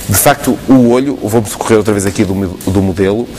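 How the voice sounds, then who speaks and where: Over noticeable background noise, the voice carries ordinary pitch variation. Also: man. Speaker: ophthalmologist answering viewer questions. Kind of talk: explaining medical answers on TV call-in.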